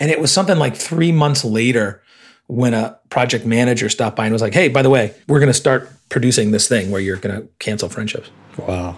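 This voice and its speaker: Here is a man with an unremarkable speaking voice and an American accent. His medium pitch carries lively intonation at a fairly quick pace. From Illinois. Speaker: advertising creative director. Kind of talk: interview conversation.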